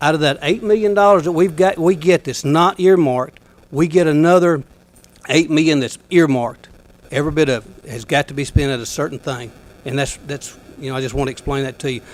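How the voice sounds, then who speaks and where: A man with an Alabama accent, fairly high in pitch, with ordinary pitch variation. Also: fairly quick pace. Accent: Southern US (Alabama). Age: 60s. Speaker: county commissioner. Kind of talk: public meeting address.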